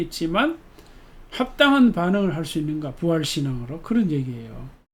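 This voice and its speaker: A man speaks, and audible room echo follows his voice. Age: 70s. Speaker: pastor. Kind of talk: sermon. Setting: church service. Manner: conversational, reflective with fillers.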